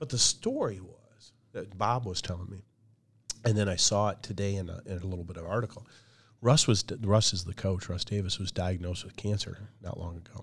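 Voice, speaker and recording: A man with an American accent and a fairly low pitch talks at a fairly quick pace, somewhat breathy, with big swings in loudness. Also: fairly even intonation. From Michigan, the Thumb area. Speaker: athletic conference commissioner and leadership coach. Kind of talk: interview. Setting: podcast.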